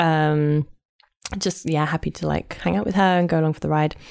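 A woman with a London accent and a very deep, low pitch, at a moderate pace with fairly even intonation, in a very clean recording over a silent background. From London, England. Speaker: swing dancer and event organizer. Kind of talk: casual interview chat. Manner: laughs often, chatty.

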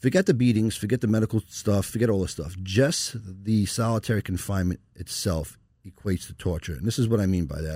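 On a very clean recording with a silent background, a man with a New York accent talks at a very fast pace in a dark, mellow tone. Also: fairly low pitch for a man, ordinary pitch variation. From New York (Long Island). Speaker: lawyer. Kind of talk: casual interview. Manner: passionate, animated.

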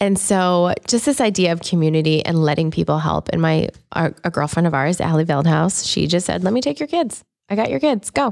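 A woman speaks at a fairly quick pace. Her loudness stays very even throughout. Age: 30s. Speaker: podcast co-host. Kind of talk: interview.

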